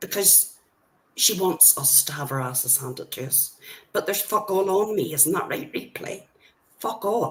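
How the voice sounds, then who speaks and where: A woman speaks with an Irish accent and very wide pitch swings. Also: fairly low pitch for a woman, moderate pace. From Ireland. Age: old. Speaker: livestreamer. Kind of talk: heated livestream rant. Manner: animated.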